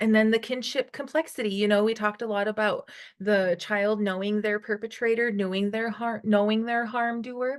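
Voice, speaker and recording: With an ordinary speaking voice, a woman talks at a moderate pace in a fairly high pitch and fairly even intonation against a quiet background. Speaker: trainer presenting module. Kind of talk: training presentation.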